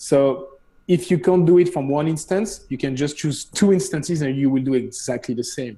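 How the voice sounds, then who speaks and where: A man with a French accent speaks at a moderate pace in a fairly high pitch, with a dark, mellow tone, a somewhat breathy sound, and ordinary pitch variation. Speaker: CEO of a streaming company. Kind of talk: casual Q&A on a live show. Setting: live stream show.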